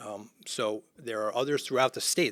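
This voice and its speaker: A man at a fairly quick pace with ordinary pitch variation, in a dry, close sound with no echo. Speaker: housing developer. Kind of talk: interview. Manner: fast.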